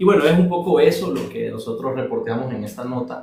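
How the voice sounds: A soft-spoken man with a dark, mellow tone and medium pitch talks at a fairly quick pace with lively intonation and vocal fry, in strong room echo.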